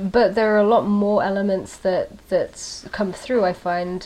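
Against noticeable background noise, a woman speaks at a medium pitch and a fairly slow pace with fairly even intonation. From UK, then Belgium. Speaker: band singer and bassist. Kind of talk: casual interview chat.

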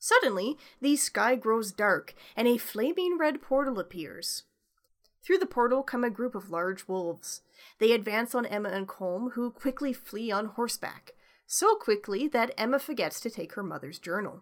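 In a Canadian accent, a woman talks at a moderate pace with a fairly high pitch and lively intonation. It is an ordinary speaking voice on a very clean recording with a silent background. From Canada. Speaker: podcast host. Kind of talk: plot summary narration; casual chat.

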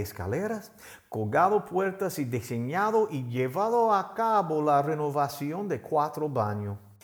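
Over audible room echo, a man talks at a fairly slow pace. His pitch is fairly high and swings very widely. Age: 50s. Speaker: pastor. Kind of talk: sermon.

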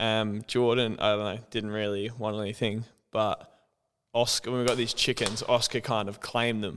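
On a very clean recording with a silent background, a man speaks at a moderate pace and medium pitch in a monotone, flat intonation. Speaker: guest, former club player. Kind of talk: casual chat interview. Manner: loud.

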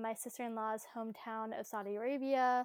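A woman's fairly high, ordinary speaking voice with fairly even intonation, dry and close with no echo, in a very clean recording with a silent background. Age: 20s. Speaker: activist. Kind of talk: podcast interview.

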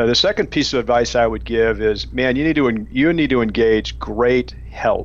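A man talks with very even loudness and hardly any pauses over noticeable background noise. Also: moderate pace. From Arkansas. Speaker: industrial real estate broker. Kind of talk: radio interview. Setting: Skype call.

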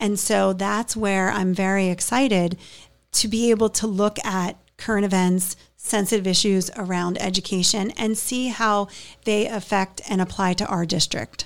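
A woman with an American accent speaks in an ordinary speaking voice at medium pitch. Her intonation is fairly even, and the recording is very clean with a silent background. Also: moderate pace. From Pittsburgh, US. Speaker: school board candidate and toy store owner. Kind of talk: podcast interview.

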